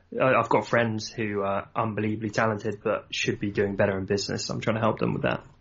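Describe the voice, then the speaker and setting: With a southern English accent, a man with fairly low pitch and vocal fry talks very fast, with fairly even intonation and hardly any pauses. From southern England, Surrey. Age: 30s. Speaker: entrepreneur and designer. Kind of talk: casual interview chat.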